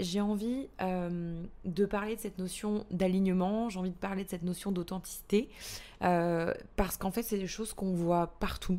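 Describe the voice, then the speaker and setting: This woman talks at a fairly slow pace with a medium pitch and ordinary pitch variation. Her tone is dark and mellow. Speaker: podcast host and business coach. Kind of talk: solo podcast monologue. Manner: hesitant, many fillers and repetitions.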